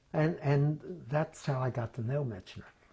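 A man's somewhat breathy voice with a dark, mellow tone and an American accent. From Philadelphia. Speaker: former state legislator. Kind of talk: oral history interview answer. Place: office. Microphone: lapel.

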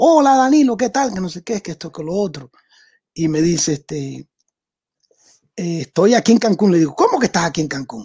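A man with a high pitch speaks at a moderate pace, his pitch swinging very widely. The sound is dry and close, with no echo. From Cuba. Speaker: jazz drummer and professor. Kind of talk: interview.

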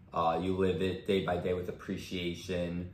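Flat, monotone intonation at a moderate pace carries through audible room echo. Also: man. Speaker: chiropractor. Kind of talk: interview. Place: home room. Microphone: camera far.

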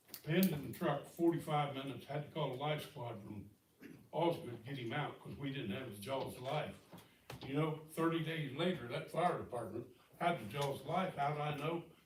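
A man with an American accent, fairly high-pitched for a man, at a moderate pace with ordinary pitch variation and audible room echo. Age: 70s. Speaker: local resident speaking at public comment. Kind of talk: public comment at town meeting. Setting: town council meeting. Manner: blunt, folksy.

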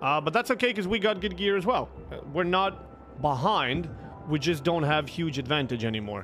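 At a moderate pace, a man speaks with fairly high pitch, a fairly bright tone and lively intonation.

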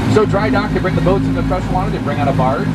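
A man talking at a very fast pace over loud background noise. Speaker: tour guide. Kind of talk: tour guide commentary. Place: boat.

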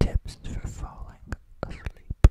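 A man is whispering. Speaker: ASMR creator. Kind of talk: ASMR sleep tips. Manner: whispered; calm, soft-spoken. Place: home room. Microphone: studio mic.

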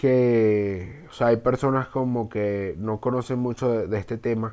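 A man's voice, pitched in the middle range, moves along very slowly. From Venezuela. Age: 20s. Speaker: gaming YouTuber. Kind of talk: casual gameplay commentary.

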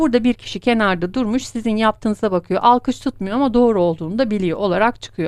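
The speaker goes at a very fast pace with hardly any pauses and ordinary pitch variation. The sound is dry and close with no echo. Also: woman, fairly high pitch for a woman. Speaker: coffee fortune teller. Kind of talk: fortune-telling monologue.

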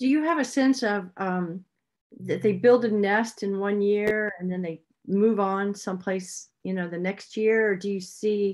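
With quiet all around, a woman talks at a moderate speed and keeps her intonation fairly even. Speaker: rescue organization host. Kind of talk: moderating a Q&A. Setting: video call. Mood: warm, appreciative. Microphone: video call.

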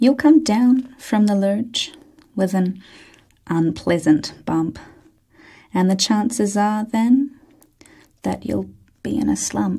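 Soft-spoken and somewhat breathy, a woman with a medium pitch and a dark, mellow tone speaks with lively intonation. She goes at a very slow pace with long, frequent pauses against a quiet background. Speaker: ASMR reader. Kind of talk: ASMR book reading. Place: studio.

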